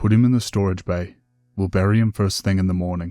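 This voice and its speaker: A man puts on a character voice, fairly low in pitch and monotone, flat in intonation. He delivers it at a fairly quick pace. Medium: read story. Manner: grave, measured.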